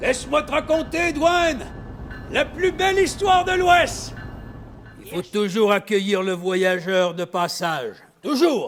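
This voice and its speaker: Over music in the background, a man with an extremely high pitch speaks at a very slow pace with long, frequent pauses, very wide pitch swings and big swings in loudness. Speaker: storyteller. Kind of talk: stage storytelling performance.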